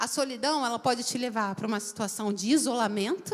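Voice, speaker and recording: An animated tone with lively intonation at a moderate pace. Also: woman. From Rio de Janeiro, Brazil. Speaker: guest preacher. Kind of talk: sermon.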